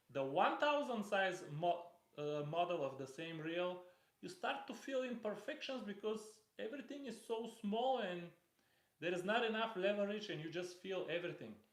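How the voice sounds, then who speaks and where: Audible room echo surrounds a man who speaks at a moderate pace in a high pitch with lively intonation. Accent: non-native. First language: not English. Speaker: fishing reel reviewer. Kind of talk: live stream product unboxing. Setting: live stream. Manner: halting, with fillers.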